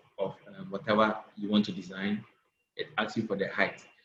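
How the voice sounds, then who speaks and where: Here is a man with an unremarkable speaking voice. It sits at a fairly low pitch with fairly even intonation. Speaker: graphic design instructor. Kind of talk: online class tutorial.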